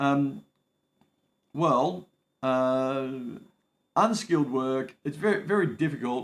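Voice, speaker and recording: A man with an Australian accent speaks at a fairly high pitch with ordinary pitch variation. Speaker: migration advice livestreamer. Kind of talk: live stream Q&A. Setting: home livestream. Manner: casual, hesitant with many fillers.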